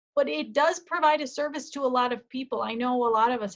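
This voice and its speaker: A woman with an ordinary speaking voice talks at a moderate pace. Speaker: college lecturer. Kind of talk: lecture.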